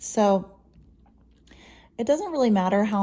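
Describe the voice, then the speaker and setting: Soft-spoken and dark, mellow in tone, a woman talks at a moderate pace. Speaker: violin teacher. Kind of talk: tutorial.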